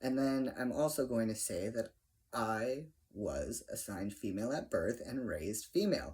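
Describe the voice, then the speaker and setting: This man speaks at a moderate pace and a medium pitch, with lively intonation. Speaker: vlogger. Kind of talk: casual video update. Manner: pitch rises at times.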